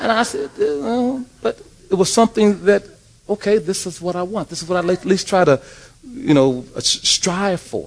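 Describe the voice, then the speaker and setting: With an American accent and a high pitch, a man talks at a moderate pace over noticeable background noise. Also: lively intonation. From US West Coast, South Central Los Angeles. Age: 60s. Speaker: church leader. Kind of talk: testimony.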